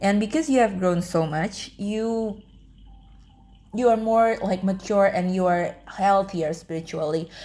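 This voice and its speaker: A woman speaks at a medium pitch with a dark, mellow tone. Her delivery is very slow, with ordinary pitch variation. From Indonesia. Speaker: tarot reader. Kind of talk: pick-a-card tarot reading. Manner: casual, filler-heavy, repeats words.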